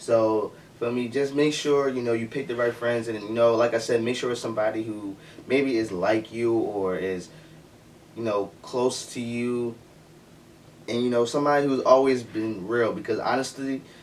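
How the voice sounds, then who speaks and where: Noticeable background noise sits behind a man of medium pitch speaking with fairly even intonation. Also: moderate pace. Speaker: youtuber giving advice. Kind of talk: casual vlog monologue. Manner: halting, many fillers and restarts.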